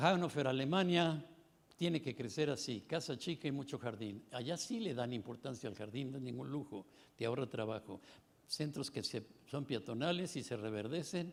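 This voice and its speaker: Here a man talks with lively intonation and a fairly high pitch. He keeps a moderate pace. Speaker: conference panelist. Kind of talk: conference talk. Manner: animated.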